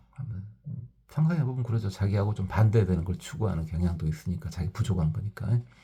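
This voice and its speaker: Talking at a very fast pace, a man uses a fairly low pitch and lively intonation, his tone dark and mellow and somewhat breathy. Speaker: Buddhist teacher. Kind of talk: dharma talk. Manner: forceful.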